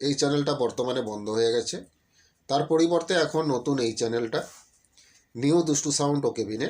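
A man with a normal speaking voice speaks at a fairly high pitch with ordinary pitch variation in a very clean recording with a silent background. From West Bengal, India (Paschim Medinipur). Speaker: YouTuber selling sound equipment. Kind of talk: sales pitch.

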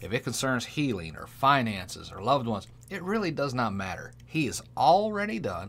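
This man's voice sits at a medium pitch. It swings very widely up and down. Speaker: pastor. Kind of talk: sermon and prayer, devotional preaching. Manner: fervent, animated, preacherly with call-and-response 'Amen'. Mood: earnest, calm, preaching.

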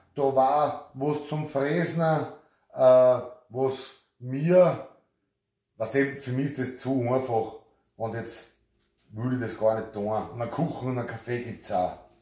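A man with an Austrian accent speaks at a very slow pace in a dark, mellow, somewhat breathy tone, with long, frequent pauses. Audible room echo surrounds his voice over a quiet background. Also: ordinary pitch variation. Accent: regional Austrian dialect. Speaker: carpenter. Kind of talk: casual talk to camera. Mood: hesitant, reluctant. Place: workshop. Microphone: camera far.

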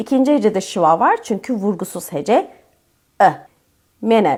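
A woman speaks fairly slowly at a fairly high pitch with lively intonation. The recording is very clean, with a silent background. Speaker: English teacher. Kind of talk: tutorial.

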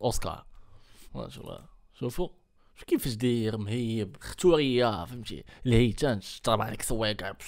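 A man speaks in an animated tone at a moderate pace, with long, frequent pauses and ordinary pitch variation. His loudness swings widely against a quiet background. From Morocco. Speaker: YouTuber reacting to videos. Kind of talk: reaction video commentary. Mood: mocking, animated. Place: home room. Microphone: studio mic.

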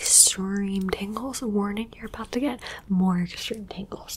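A soft-spoken woman whispers at a fairly slow pace, with light background noise behind her. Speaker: ASMR creator. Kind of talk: soft ASMR roleplay talk. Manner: soft close-up ASMR whisper. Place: home room.

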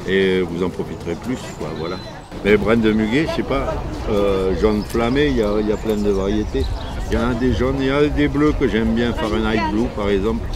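A man talks at a moderate pace in a southern French accent. Noticeable background noise runs underneath. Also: fairly low pitch for a man, lively intonation. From southwest France, Marmande (Lot-et-Garonne); southwest France. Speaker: market gardener, heirloom tomato grower; seller. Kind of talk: interview. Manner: casual, hesitant with fillers. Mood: warm, enthusiastic. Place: market.

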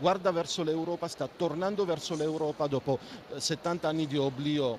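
Moderate pace, ordinary pitch variation, and a dry sound with no echo over light background noise. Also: man. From Armenia. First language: Armenian (speaking Italian). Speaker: ambassador; interviewee. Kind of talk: interview. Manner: halting, many fillers. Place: studio. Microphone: handheld.

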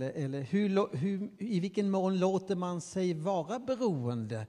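A man's dark, mellow voice with very wide pitch swings, over a quiet background. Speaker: professor of religious studies. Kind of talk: panel discussion. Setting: stage with audience. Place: stage. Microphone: handheld.

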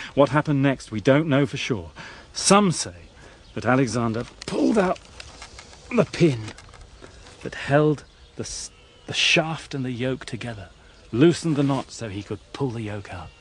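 A man at medium pitch with lively intonation, a moderate pace with long, frequent pauses, and noticeable background noise. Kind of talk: history documentary narration. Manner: measured, dramatic storytelling; formal, steady, scripted delivery.

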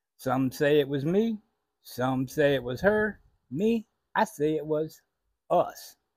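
A man is speaking. The sound is dry with no echo, over a quiet background. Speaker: storyteller. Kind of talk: personal storytelling monologue. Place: home room. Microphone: lapel.

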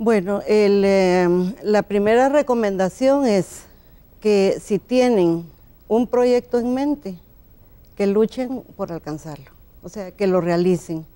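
A woman speaks with a dark, mellow tone. Her pace is very slow. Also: ordinary pitch variation. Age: 60s. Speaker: law graduate; interview guest. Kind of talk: TV interview. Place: studio. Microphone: lapel.

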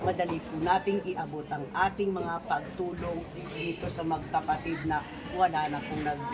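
Noticeable background noise runs through the clip. The speaker keeps a moderate pace with monotone, flat intonation. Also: woman, fairly low pitch for a woman. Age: 60s. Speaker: charity vlogger. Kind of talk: vlog charity visit.

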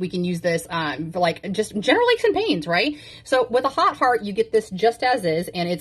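This woman talks at a fairly quick pace, her pitch swinging very widely. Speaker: intimacy coach. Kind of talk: product demo talk. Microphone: phone near.

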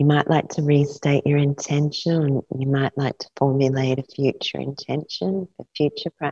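Somewhat breathy and very deep, low in pitch, a woman speaks in a soothing, calm, dark, mellow tone with fairly even intonation and hardly any pauses, in a dry sound with no echo over a quiet background. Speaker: yoga nidra teacher. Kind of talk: guided meditation; guided meditation instruction. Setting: live class with a group. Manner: slow, soothing, calm and rhythmic, with long pauses. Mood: calm, soothing, slow. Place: home room.

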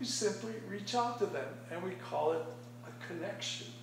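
A man speaks at a moderate pace. Light background noise and audible room echo come through. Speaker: speaker. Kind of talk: prepared speech. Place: meeting room. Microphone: camera far.

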